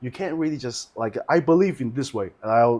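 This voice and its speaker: Here a man talks at a moderate pace with a Chinese accent. His intonation is lively. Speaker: orchestral horn player. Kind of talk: casual chat. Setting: live video stream. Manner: halting.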